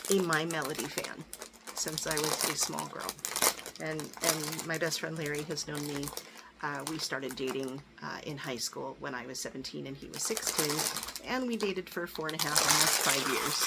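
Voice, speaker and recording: Amid noticeable background noise, a woman with a very deep, low pitch talks at a moderate pace with ordinary pitch variation. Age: 60s. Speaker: YouTuber showing gifts. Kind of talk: casual haul video. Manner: chatty, with many fillers. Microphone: crackling noise.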